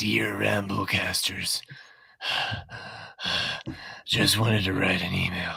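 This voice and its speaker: Speaking at a fairly slow pace with long, frequent pauses, a man puts on a character voice that is breathy, raspy and fairly low in pitch. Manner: creepy, perverted.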